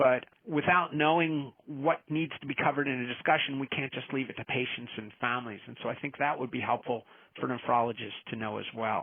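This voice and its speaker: A plain, everyday voice from a man, medium in pitch with ordinary pitch variation, at a fairly quick pace with hardly any pauses. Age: 60s. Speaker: nephrologist, palliative care physician. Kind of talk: podcast interview.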